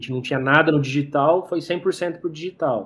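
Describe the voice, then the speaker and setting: A man is talking. His pace is fairly quick. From interior of São Paulo state, Brazil. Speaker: entrepreneur and investor, chemist. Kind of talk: interview. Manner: halting, many repeated words.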